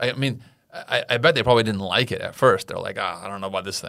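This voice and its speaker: A man with an American accent and a bright, sharp tone speaks fairly quickly at medium pitch, with ordinary pitch variation, on a very clean recording with a silent background. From California. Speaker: podcast host. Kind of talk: casual chat.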